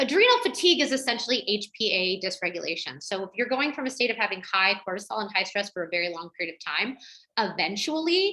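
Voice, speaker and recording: A woman speaks at a very fast pace with lively intonation. Her tone is bright and sharp. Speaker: women's health educator. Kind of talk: webinar Q&A.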